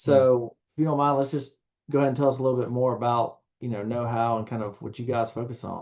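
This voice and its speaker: A man speaks very fast with a Southern US accent. His medium-pitched voice is monotone and flat. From US South. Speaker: podcast host. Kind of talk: podcast interview.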